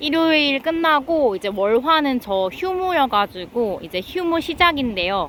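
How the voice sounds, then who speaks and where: A woman speaks at a very slow pace with very wide pitch swings. Noticeable background noise is present. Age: 30s. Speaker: vlogger. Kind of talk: casual chat. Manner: spontaneous, unscripted.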